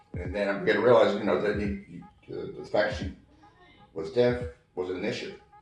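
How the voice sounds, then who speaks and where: A man talks at a fairly quick pace with audible room echo and music in the background. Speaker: Navy veteran, hearing husband of a deaf woman. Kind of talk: interview. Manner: quiet, not talkative.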